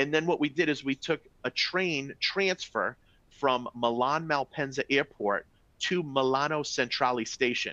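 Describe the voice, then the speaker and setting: A man with a fairly high pitch and a bright, sharp, animated tone speaks at a fairly slow pace, with ordinary pitch variation, very even loudness and a dry, close sound with no echo. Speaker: travel sales presenter. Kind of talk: webinar presentation. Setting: live webinar.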